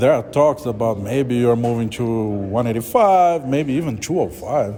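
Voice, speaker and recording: A man with a Brazilian Portuguese accent and lively intonation. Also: medium pitch for a man, moderate pace. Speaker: sports reporter. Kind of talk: press interview. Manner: halting.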